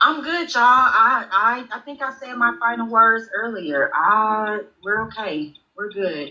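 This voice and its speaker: A woman with a Mississippi accent speaks at a fairly slow pace in a bright, sharp tone and fairly high pitch. Her pitch swings very widely and her loudness varies a lot. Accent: Southern US (Mississippi). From Mississippi, US South. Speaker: interview guest. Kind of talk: casual live-stream interview. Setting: live stream.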